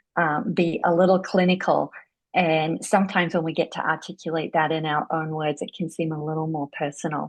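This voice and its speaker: A woman speaks with an Australian accent at a fairly low pitch. Her pace is moderate and her pitch varies in an ordinary way. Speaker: interviewer, yoga therapy book club host. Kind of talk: interview.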